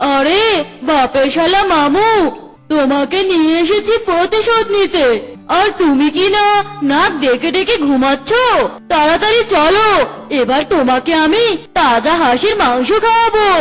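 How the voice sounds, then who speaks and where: Over clear background noise, a cartoonish character voice at an extremely high pitch goes at a fairly slow pace. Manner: sly, gloating.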